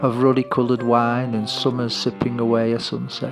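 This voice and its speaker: Over background music, a man speaks at a medium pitch. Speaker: writer. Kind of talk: personal essay narration. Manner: slow, drawling.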